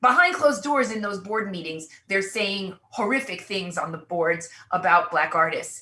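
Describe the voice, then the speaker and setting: A woman with an unremarkable speaking voice talks here. Her pitch is medium and her pace moderate. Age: 60s. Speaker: artist and cultural critic. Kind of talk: panel discussion.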